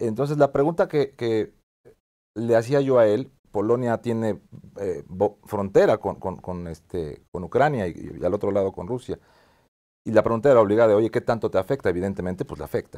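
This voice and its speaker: This man speaks at a medium pitch with a dark, mellow tone and lively intonation. His loudness swings widely against a quiet background. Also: fairly quick pace. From Mexico. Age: 50s. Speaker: TV show host, business executive; TV show host. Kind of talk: interview. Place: studio. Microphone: lapel.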